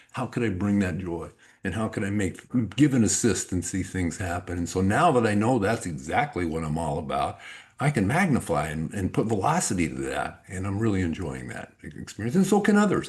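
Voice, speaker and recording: Using a normal speaking voice, a man with a fairly low pitch talks at a fairly quick pace with lively intonation. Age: 60s. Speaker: life coach and author. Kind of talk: podcast interview.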